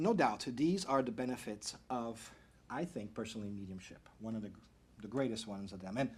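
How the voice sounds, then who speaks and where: Pitched in the medium range, a man speaks at a fairly quick pace with ordinary pitch variation. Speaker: speaker giving a talk on mediumship. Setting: stage, addressing an audience. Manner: fast talker; excitable, enthusiastic.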